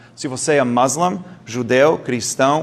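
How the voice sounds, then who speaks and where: Speaking at a fairly slow pace, a man with an English accent has a fairly high pitch and ordinary pitch variation. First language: English (speaking Portuguese). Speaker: doctor giving a health talk. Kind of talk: lecture. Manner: halting, with stumbles and self-corrections.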